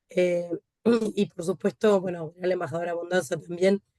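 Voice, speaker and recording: The woman speaks at a moderate pace in a fairly low pitch. Her intonation is monotone and flat, with a dry, close sound and no echo. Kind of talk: welcome remarks.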